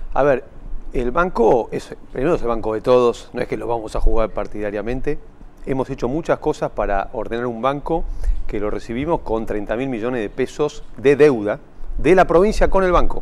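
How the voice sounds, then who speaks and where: A male voice of medium pitch at a moderate pace, with ordinary pitch variation. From Argentina. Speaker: state bank president. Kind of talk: TV interview. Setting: studio. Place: studio. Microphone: lapel.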